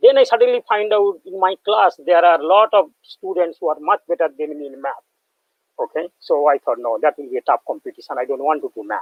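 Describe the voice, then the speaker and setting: A man with a Bengali accent speaks at a fairly quick pace. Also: big swings in loudness. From West Bengal, India. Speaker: professor. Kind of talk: lecture. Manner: halting.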